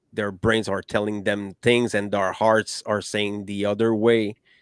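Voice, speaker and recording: A man with a non-native accent, fairly low in pitch and monotone, at a fairly slow pace, on a very clean recording with a silent background and a dry, close sound with no echo. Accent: non-native English, improving. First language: French. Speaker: podcast host. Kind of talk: panel discussion. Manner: halting, many fillers.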